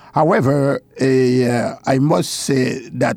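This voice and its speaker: A man with a medium pitch speaks over noticeable background noise. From Haiti. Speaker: deacon and church missions director. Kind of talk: interview. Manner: halting.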